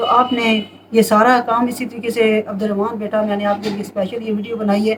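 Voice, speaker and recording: The voice moves at a moderate pace in a monotone, flat intonation over noticeable background noise. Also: woman, fairly high pitch for a woman. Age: 60s. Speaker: home remedy advisor. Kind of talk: casual advice monologue.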